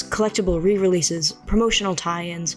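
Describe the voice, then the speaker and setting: Speech comes at a fairly quick pace with music in the background. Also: woman. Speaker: video essayist. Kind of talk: video essay narration.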